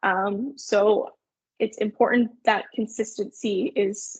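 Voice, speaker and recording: A woman's fairly high, somewhat breathy voice with a Canadian accent, dry and close with no echo. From Canada, Sudbury Ontario. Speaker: marketing agency owner. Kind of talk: webinar presentation. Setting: online webinar. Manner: fast.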